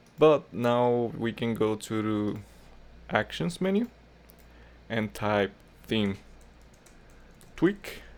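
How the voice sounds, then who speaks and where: Very slowly and with long, frequent pauses, a man at a medium pitch speaks with lively intonation. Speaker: tutorial creator. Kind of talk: tutorial. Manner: casual, with fillers.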